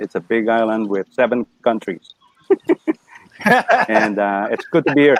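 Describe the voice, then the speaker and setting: Pitch swings very widely as a man talks, with a dry, close sound and no echo. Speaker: talk show host, broadcaster. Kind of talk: casual talk show hosting. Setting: online video call.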